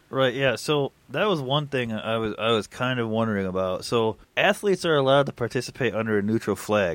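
A normal speaking voice moves at a fairly quick pace with hardly any pauses. Its intonation is lively. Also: man, medium pitch for a man. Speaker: sports podcast host. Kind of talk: casual sports banter. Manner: filler-heavy, conversational.

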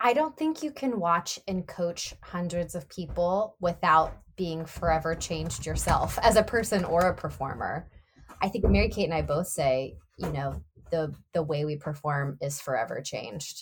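This woman's voice sits fairly low in pitch and carries vocal fry. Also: ordinary pitch variation, moderate pace. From Nashville, Tennessee. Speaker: Broadway actor. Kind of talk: casual interview.

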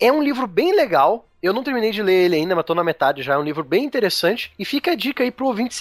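Noticeable background noise sits under a dry, close sound with no echo. A man speaks at a fairly quick pace with lively intonation. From Curitiba, Paraná, southern Brazil. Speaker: history teacher. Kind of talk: casual chat.

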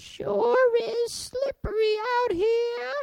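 An extremely high-pitched, put-on character voice. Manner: goofy.

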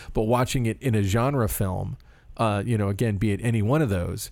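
A man with an American accent speaks at medium pitch in an unremarkable speaking voice with fairly even intonation. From Florida, US. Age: middle-aged. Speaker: podcast host. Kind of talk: interview; casual chat. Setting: video call.

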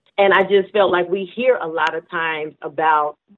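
A woman has an unremarkable speaking voice with fairly low pitch. She talks at a moderate pace. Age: 50s. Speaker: minister and author. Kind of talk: interview.

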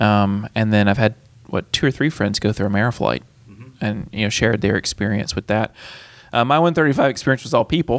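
A plain, everyday voice from a man, fairly low in pitch, at a fairly quick pace with ordinary pitch variation, dry and close with no echo on a very clean recording against a silent background. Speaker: aviation college instructor. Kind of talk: casual interview chat.

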